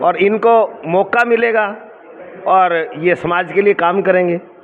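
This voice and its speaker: There is noticeable background noise behind a man with a high pitch. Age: 60s. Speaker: lawyer and community leader. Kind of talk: interview.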